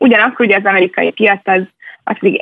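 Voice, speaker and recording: Speaking very fast, a woman keeps a medium pitch that varies in an ordinary way. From Hungary, Budapest. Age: young. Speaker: venture capital investor. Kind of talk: radio interview.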